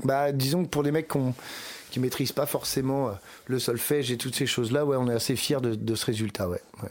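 Talking at a fairly quick pace, a man at a medium pitch keeps fairly even intonation while taking long, frequent pauses. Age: 40s. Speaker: rock band singer and guitarist. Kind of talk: casual interview.

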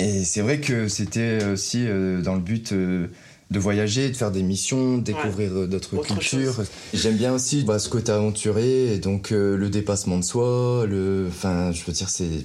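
A man with a fairly low pitch and a dark, mellow tone talks at a fairly slow pace, with ordinary pitch variation, very even loudness and audible room echo. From northern France, Lille. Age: 30s. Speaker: single on a dating show. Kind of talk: casual chat. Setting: in total darkness.

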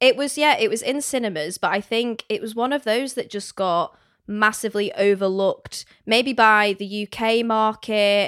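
On a very clean recording with a silent background, a woman with a normal speaking voice and a fairly high pitch talks at a moderate pace. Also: ordinary pitch variation, dry, close sound with no echo. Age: 20s. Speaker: podcast co-host. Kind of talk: casual chat.

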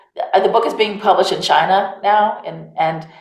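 A woman talks at a moderate pace with fairly even intonation, and some room echo can be heard. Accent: American. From United States. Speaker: author. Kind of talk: interview.

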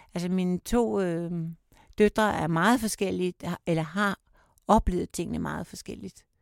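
In a very clean recording with a silent background and a dry, close sound with no echo, a woman with a fairly low pitch speaks at a fairly slow pace with long, frequent pauses and ordinary pitch variation. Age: 60s. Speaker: survivor of domestic violence. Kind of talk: personal testimony in interview. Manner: halting, hesitant.

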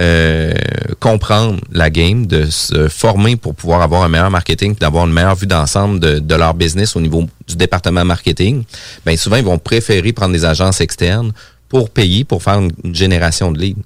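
A man's very deep, low voice varies in pitch in an ordinary way as he talks at a moderate pace. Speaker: radio host and real estate broker. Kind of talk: radio interview.

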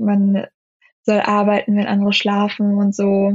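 A woman speaks at medium pitch. Her voice is somewhat breathy. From Germany. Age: 20s. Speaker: law student and video creator. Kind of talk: interview. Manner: hesitant, many filler sounds.

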